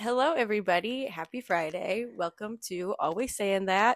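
A woman's unremarkable speaking voice, fairly high in pitch, with lively intonation, a fairly slow pace and a dry, close sound with no echo. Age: 20s. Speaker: podcast co-host. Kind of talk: casual chat.

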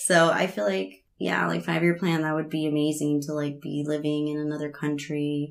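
Over background music, a woman with an American accent speaks at a moderate pace in a very deep, low voice with ordinary pitch variation. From US (immigrated from Veracruz, Mexico as a child). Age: 20s. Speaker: teeth whitening technician. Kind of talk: casual chat.

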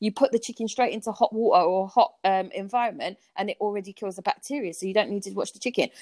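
Speaking very fast with hardly any pauses, a woman with a South London accent and a fairly high pitch shows ordinary pitch variation and big swings in loudness, in a dry, close sound with no echo. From Southeast London (Peckham). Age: 30s. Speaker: podcast guest, friend of host. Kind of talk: casual chat.

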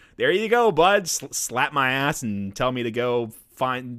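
On a very clean recording with a silent background, a man with an unremarkable speaking voice talks at medium pitch with ordinary variation. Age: 20s. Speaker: gaming podcast co-host. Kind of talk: casual chat.

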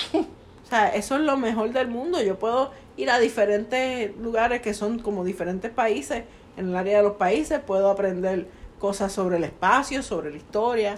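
Her pitch fairly high and her intonation lively, a woman talks at a moderate pace. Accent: Puerto Rican. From Puerto Rico. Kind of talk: casual chat.

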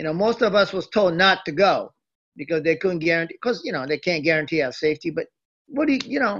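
Speaking very fast in a Japanese accent, a man uses a high pitch and lively intonation. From Japan (Tokyo), moved to US at 11. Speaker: former wrestling manager. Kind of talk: interview. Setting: video call.

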